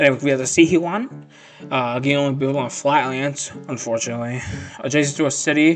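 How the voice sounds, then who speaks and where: With music playing in the background, a man talks at a fairly quick pace using fairly even intonation. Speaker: gaming youtuber. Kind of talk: casual tier list commentary. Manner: halting, many fillers and repetitions.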